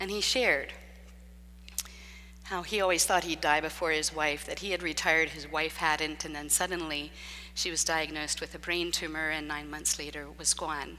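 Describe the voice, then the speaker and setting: A woman's bright, sharp voice with vocal fry and a very deep, low pitch, fairly even intonation, and a moderate pace. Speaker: preacher. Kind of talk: sermon. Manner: loud; talks nonstop.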